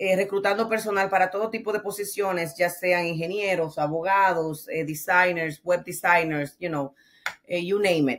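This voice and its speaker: A woman's fairly low voice with a Dominican accent, fairly even intonation and a moderate pace. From Dominican Republic. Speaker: trucking business owner; guest. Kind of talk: interview. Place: home room.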